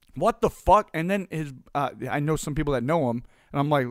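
A man with an American accent speaks in an animated tone with ordinary pitch variation. The recording is very clean, with a silent background and a dry, close sound with no echo. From US East Coast. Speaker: podcast host, business coach. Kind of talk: solo podcast monologue. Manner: animated, casual.

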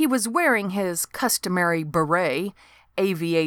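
Ordinary pitch variation runs through the unforced reading voice.

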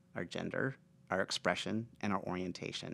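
A man talks at a fairly quick pace in a plain, everyday voice with fairly low pitch, on a very clean recording with a silent background. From Nebraska, rural Aurora. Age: 40s. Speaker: speaker and author. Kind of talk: interview conversation.

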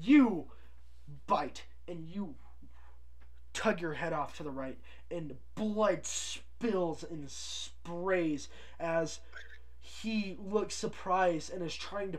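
Using a put-on character voice with a high pitch, a man speaks very slowly with long, frequent pauses over noticeable background noise. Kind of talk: horror tabletop narration. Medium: actual play. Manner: casual, relishing gory detail.

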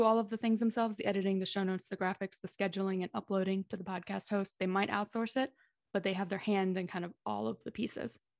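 With a normal speaking voice, a woman with an American accent talks at a medium pitch and fairly even intonation, in a dry, close sound with no echo against a quiet background. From Texas (Dallas). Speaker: podcast manager. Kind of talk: casual interview.

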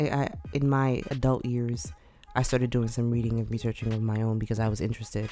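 Over music in the background, a woman with an American accent speaks at a very fast pace in a very deep, low pitch, with fairly even intonation and very even loudness. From New York City. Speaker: podcast co-host. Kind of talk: casual chat.

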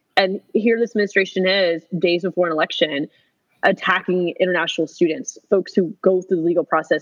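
With an American accent, a woman talks at a fairly quick pace in a fairly low pitch, her intonation fairly even and her loudness very even. The sound is dry and close, with no echo. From US, Orlando, Florida. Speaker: state legislator. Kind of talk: casual interview chat.

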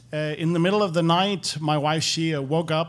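Keeping his intonation fairly even, a man with a fairly high pitch speaks at a moderate pace. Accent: Danish. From Denmark. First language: Danish. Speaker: former pastor. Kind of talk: testimony.

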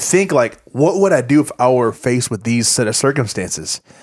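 A man talks with a Louisiana accent at a moderate pace. His intonation is lively. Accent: Southern US (Louisiana). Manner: joking, quipping.

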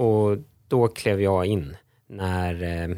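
A man's fairly low voice with fairly even intonation, dry and close with no echo, in a very clean recording against a silent background. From Stockholm, Sweden. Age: 40s. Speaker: lawyer and economist, entrepreneur. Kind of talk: podcast interview.

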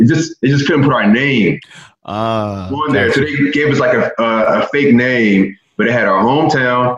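At a moderate pace, a man with an American accent talks at a fairly high pitch. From North Philadelphia. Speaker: former college basketball player, performance trainer. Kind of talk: casual interview.

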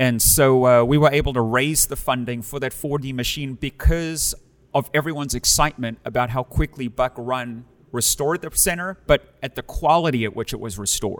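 At a fairly quick pace, a man with a South African accent speaks in a medium pitch with ordinary pitch variation. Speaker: pastor. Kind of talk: casual interview chat.

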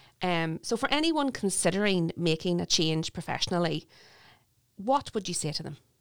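A woman uses an ordinary speaking voice with lively intonation on a very clean recording with a silent background. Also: fairly low pitch for a woman, moderate pace. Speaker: podcast host. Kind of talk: interview.

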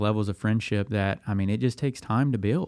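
Here a man speaks at a fairly low pitch and a moderate pace. The recording is very clean, with a silent background. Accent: Tennessee. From Middle Tennessee. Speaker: young adult ministry worker, former pastor. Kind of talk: casual podcast interview.

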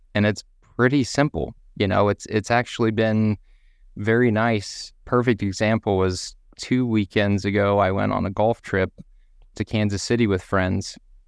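In a very clean recording with a silent background and a dry, close sound with no echo, a man with a Texan accent and a fairly low pitch speaks at a moderate pace with very even loudness and fairly even intonation. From US, deep South Texas. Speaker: person in recovery from alcohol. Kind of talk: casual group chat.

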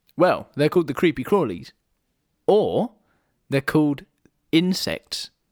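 A fairly slow voice in a Welsh accent, with long, frequent pauses, very even loudness, and a dry, close sound with no echo on a very clean recording with a silent background. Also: man, high pitch for a man, ordinary pitch variation. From Wales. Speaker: podcast co-host. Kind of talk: casual chat.

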